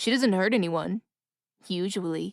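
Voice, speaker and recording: A woman adopts a put-on character voice, pitched medium. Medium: read story. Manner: theatrical, intoning.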